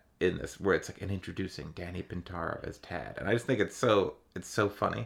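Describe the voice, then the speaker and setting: On a very clean recording with a silent background, a man speaks with vocal fry. His pitch is fairly low with ordinary pitch variation. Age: 30s. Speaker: podcast co-host. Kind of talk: casual chat.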